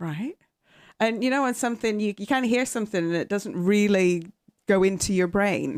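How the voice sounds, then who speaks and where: The recording is very clean, with a silent background. A woman speaks at a medium pitch and moderate pace with ordinary pitch variation. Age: 50s. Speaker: golf industry education executive. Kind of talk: casual interview chat.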